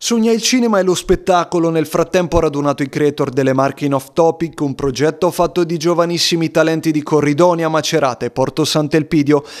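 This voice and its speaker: Speaking at a fairly quick pace with hardly any pauses, a man with a fairly high pitch and ordinary pitch variation is heard over noticeable background noise. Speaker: TV news reporter. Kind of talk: TV news report narration.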